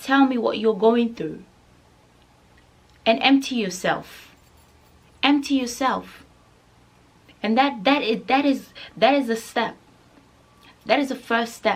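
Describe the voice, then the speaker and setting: At a fairly slow pace, a woman with a Nigerian accent speaks in a high pitch. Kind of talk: casual talk to camera.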